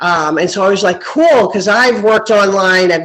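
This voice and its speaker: A woman talks at a moderate pace, her medium pitch showing ordinary variation. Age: 60s. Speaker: new real estate investor, cleaning business owner. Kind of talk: casual chat. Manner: halting.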